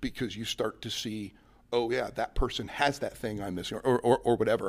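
A man with an ordinary speaking voice, medium pitch, moderate pace and fairly even intonation, on a very clean recording with a silent background. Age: 40s. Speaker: company president, former Marine. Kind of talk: interview. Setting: conference center in new office building.

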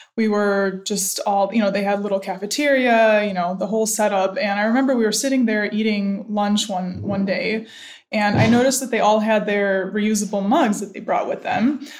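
Speaking at a moderate pace with hardly any pauses, a woman with an American accent keeps a medium pitch and fairly even intonation. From US Midwest, Cleveland, Ohio. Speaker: startup co-founder. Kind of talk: interview.

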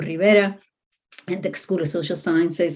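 A woman with a Spanish accent and a fairly low pitch. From Puerto Rico. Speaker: professor. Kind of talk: interview. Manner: hesitant, many fillers.

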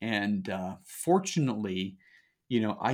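Very slow speech from a man with a fairly low pitch, on a very clean recording with a silent background. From Utah. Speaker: real estate investor, Marine veteran. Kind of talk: podcast interview.

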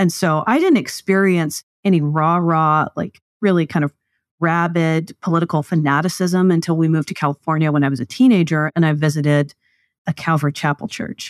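A normal speaking voice at a fairly quick pace with ordinary pitch variation, dry and close with no echo over a quiet background. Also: woman, fairly low pitch for a woman. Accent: American. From US South, East Texas. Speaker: political party leader. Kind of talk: interview.

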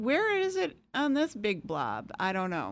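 American-accented female speech full of very wide pitch swings. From Michigan. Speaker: clinical neuropsychologist. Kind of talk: interview, explaining science. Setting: studio.

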